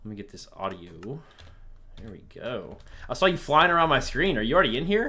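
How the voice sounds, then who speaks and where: Fairly quick speech broken by long, frequent pauses. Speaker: livestream host. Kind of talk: casual chat during gameplay livestream. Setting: live stream with online chat. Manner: loud.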